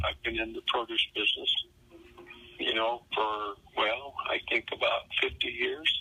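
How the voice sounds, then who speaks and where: Noticeable background noise accompanies the recording. A man talks at a fairly slow pace. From Tennessee, Shelbyville. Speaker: produce businessman, interviewee. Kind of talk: oral history interview. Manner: halting, repeats words.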